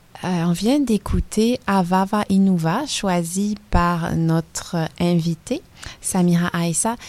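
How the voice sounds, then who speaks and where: Speaking at a very slow pace, a woman has a fairly low pitch, ordinary pitch variation and a dark, mellow tone. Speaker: radio host. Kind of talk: radio interview.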